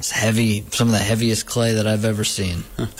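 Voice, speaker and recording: Against noticeable background noise, a man with a fairly low voice speaks at a moderate pace. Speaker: radio host. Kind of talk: casual chat.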